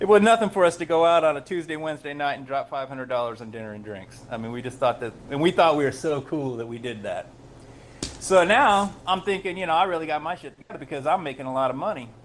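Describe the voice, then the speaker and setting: Over noticeable background noise, a man with an American accent talks at a very fast pace and fairly high pitch, his intonation lively and his loudness swinging widely. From Los Angeles. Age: 40s. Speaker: author in recovery, hairdresser. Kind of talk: interview storytelling. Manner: halting, many fillers.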